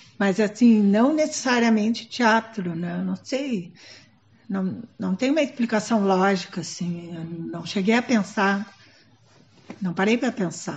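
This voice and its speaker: A woman's somewhat breathy, medium-pitched voice, fairly slow, with ordinary pitch variation. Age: 70s. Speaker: theatre professor and director. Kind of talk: documentary interview. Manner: hesitant, with many fillers.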